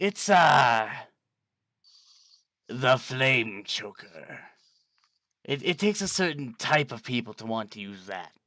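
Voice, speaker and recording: Putting on a character voice, a man speaks fairly slowly at a medium pitch with very wide pitch swings and long, frequent pauses. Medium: actual play. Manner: salesman patter, grandiose.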